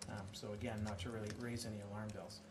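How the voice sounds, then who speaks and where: Noticeable background noise runs under fairly quick speech with a monotone, flat intonation. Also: man. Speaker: external auditor presenting to council. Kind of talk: formal presentation. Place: hall. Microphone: podium.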